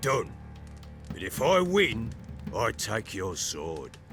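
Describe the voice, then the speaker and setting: A raspy, put-on character voice speaks at a very slow pace with very wide pitch swings. Music plays in the background. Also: man, medium pitch for a man. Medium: video game. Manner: gruff, blunt.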